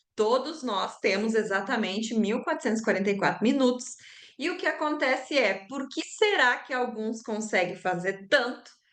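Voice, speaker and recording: A woman speaks in a Rio Grande do Sul accent. Her pitch is fairly high and her intonation lively. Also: moderate pace. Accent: gaúcho accent from Rio Grande do Sul. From southern Brazil, Rio Grande do Sul. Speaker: sales trainer and business mentor. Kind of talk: online class. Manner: conversational, frequent fillers.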